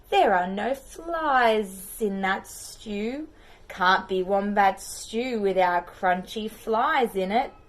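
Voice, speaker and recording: A put-on character voice, female-sounding and hissing, moves at a very slow pace with a medium pitch. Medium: read story.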